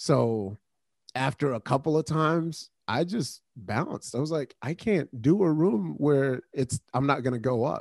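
A man with a normal speaking voice talks at a fairly high pitch and fairly slow pace, with lively intonation. The sound is dry and close with no echo, over a quiet background. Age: 40s. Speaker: comedian and producer. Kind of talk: casual chat. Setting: home basement, remote.

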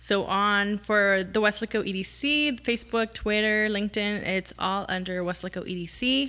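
A woman speaks at a moderate pace with a bright, sharp tone and ordinary pitch variation. The recording is very clean with a silent background. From South Texas, Rio Grande Valley (Weslaco). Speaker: city economic development communications manager. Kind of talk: casual interview chat.

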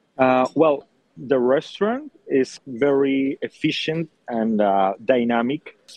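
The sound is dry and close, with no echo. The speaker, with a Spanish accent, uses ordinary pitch variation. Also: man. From Colombia. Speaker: chef. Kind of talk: interview. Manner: hesitant, many fillers.

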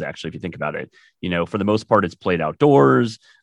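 The speaker has an American accent and talks at a very fast pace. The background is quiet. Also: man. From Wisconsin, US Upper Midwest. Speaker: podcast host and startup founder. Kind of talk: casual sports chat.

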